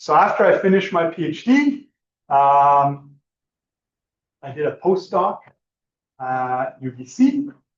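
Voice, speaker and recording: A man with a Quebec accent, high pitch and very wide pitch swings, big swings in loudness, a fairly slow pace and long, frequent pauses. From Quebec, Trois-Rivières. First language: French. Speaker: computer science professor. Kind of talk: panel talk.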